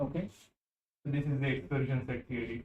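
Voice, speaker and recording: With noticeable room echo around him, a man speaks at a fairly quick pace. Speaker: physics lecturer. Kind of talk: lecture. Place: classroom.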